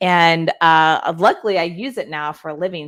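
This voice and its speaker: The speaker is a woman with an American accent. Her pitch is very deep and low. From Texas (Houston). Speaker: influencer strategist and author. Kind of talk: interview. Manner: articulate.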